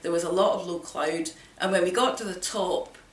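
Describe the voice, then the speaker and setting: A woman speaks at a medium pitch and a fairly quick pace, with audible room echo and noticeable background noise. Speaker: hill walker vlogger. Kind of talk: personal account to camera.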